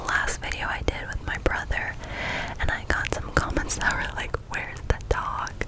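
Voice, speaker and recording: A playful whisper moves at a fairly slow pace over loud background noise. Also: woman. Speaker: ASMR creator. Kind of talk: soft-spoken casual vlog chat. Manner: playful close whisper. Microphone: studio mic.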